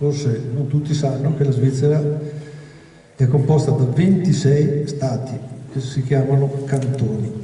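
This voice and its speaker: Over noticeable background noise and audible room echo, a man with a fairly high pitch talks at a fairly slow pace in a monotone, flat delivery broken by long, frequent pauses. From Veneto, Verona area. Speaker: doctor and history speaker. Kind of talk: public talk. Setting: evening event with audience. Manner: hesitant with frequent fillers.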